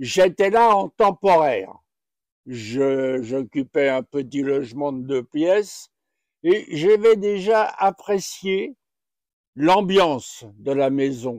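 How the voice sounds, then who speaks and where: The man's fairly high voice swings very widely in pitch as he speaks very slowly, the sound dry and close with no echo. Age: 80s+. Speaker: retirement home resident. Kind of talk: testimony.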